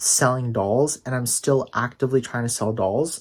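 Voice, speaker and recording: Moderate pace, a man's medium pitch, an ordinary speaking voice and ordinary pitch variation, on a very clean recording with a silent background. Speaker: doll collector YouTuber. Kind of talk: casual collection tour vlog. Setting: at home, late at night. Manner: casual, filler-heavy.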